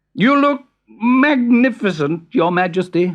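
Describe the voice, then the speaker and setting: Mumbling in a put-on character voice, the speaker talks at a fairly high pitch. The pace is fairly slow. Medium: read story. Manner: mumbling, hesitant.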